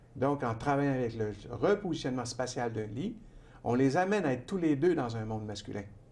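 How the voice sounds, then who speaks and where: Audible room echo surrounds a man with a medium pitch. He talks at a fairly quick pace with lively intonation. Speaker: author and trainer. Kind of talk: TV interview. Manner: calm, measured pace.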